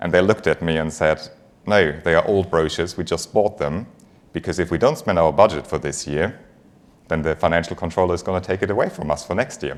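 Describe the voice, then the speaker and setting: Very fast speech comes from a man with a very deep, low pitch and a German accent. His pitch variation is ordinary. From Germany. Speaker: finance executive. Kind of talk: conference talk.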